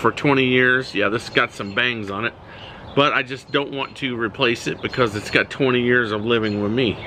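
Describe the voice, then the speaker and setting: Over noticeable background noise, a man's medium-pitched voice holds a fairly even intonation. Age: 60s. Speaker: watch reviewer. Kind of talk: product review video. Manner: casual, hesitant with many fillers.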